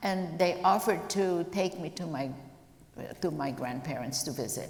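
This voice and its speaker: A woman with a fairly low pitch and ordinary pitch variation is heard with audible room echo and noticeable background noise. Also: moderate pace. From Croatia (Zagreb, former Yugoslavia). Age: 70s. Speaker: Holocaust survivor. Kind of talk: testimony interview. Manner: halting, many fillers.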